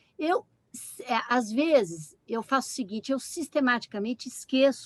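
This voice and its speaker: A woman talks at a moderate pace in a high voice with very wide pitch swings. The sound is dry and close, with no echo. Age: 70s. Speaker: panel guest. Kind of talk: panel discussion.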